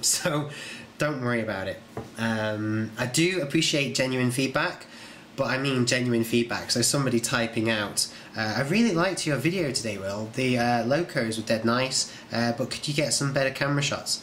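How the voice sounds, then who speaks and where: Over noticeable background noise, a man with a British accent speaks at a moderate pace. His pitch is medium, with ordinary pitch variation. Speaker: video channel creator. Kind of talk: casual vlog update. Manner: informal, hesitant with fillers.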